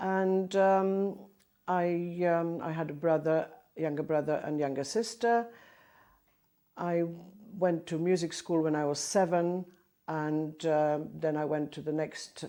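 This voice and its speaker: A fairly slow pace in a Polish accent, with a dark, mellow tone, long, frequent pauses, and a very clean recording with a silent background. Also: woman. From southern Poland, Bielsko-Biała. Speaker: choir conductor and Polish emigrant. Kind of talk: oral history interview. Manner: halting.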